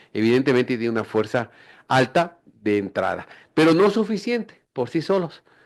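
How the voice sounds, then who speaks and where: Pitch swings very widely. The pace is moderate over a quiet background. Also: man, medium pitch for a man. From Ecuador, Quito. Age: 60s. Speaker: politician. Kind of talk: radio interview.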